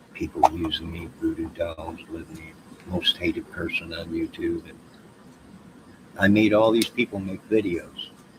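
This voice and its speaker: Long, frequent pauses break up this man's fairly slow speech, with noticeable background noise behind it. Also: big swings in loudness. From Chicago. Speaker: YouTuber. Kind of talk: casual livestream monologue. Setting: outdoors.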